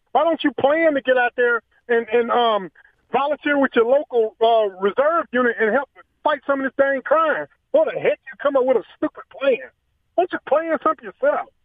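A man speaks at a moderate pace in an extremely high voice with ordinary pitch variation. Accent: Southern US. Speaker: radio show caller. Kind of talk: opinionated call-in rant. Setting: phone call. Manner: animated.

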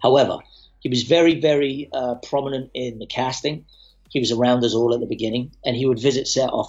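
Speaking at a very fast pace in an English accent, a man holds a medium pitch with fairly even intonation. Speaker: actor. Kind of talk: casual chat.

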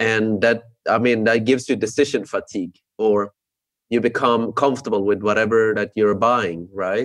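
This is a normal speaking voice from a man with a medium pitch. He keeps a moderate pace and fairly even intonation. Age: 30s. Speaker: podcast host. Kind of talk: interview; scripted intro.

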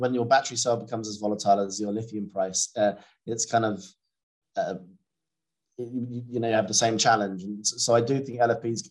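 The speaker talks at a moderate pace in a British accent. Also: man. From Britain. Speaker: battery materials analyst. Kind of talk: interview.

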